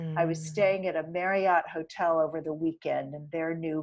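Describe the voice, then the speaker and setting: A woman with a plain, everyday voice speaks at a moderate pace with fairly even intonation against a quiet background. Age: 60s. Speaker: plant-based diet author and advocate. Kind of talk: interview conversation.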